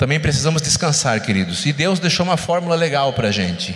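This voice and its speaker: A man speaks with very wide pitch swings, with noticeable background noise and audible room echo. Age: 40s. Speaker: lay preacher and physician. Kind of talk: sermon. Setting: church.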